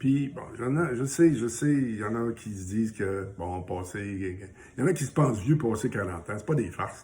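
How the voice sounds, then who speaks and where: Somewhat breathy and dark, mellow in tone, a man with a Quebec accent speaks at a medium pitch and a moderate pace, with lively intonation and hardly any pauses. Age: 60s. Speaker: small business owner and social media personality sharing recovery story. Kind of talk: casual motivational video message. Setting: home, morning coffee.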